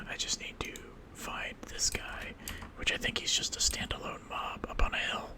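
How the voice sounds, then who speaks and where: Whispering at a moderate pace, a man speaks in an American accent. Noticeable background noise runs behind him. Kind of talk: casual gaming commentary with whispered ASMR delivery. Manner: whispered.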